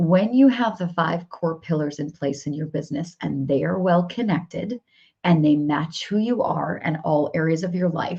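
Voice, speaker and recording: This woman's voice sits fairly low in pitch, with a dark, mellow tone. It is also somewhat breathy. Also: ordinary pitch variation, moderate pace. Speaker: business coach. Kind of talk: live stream coaching session. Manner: animated.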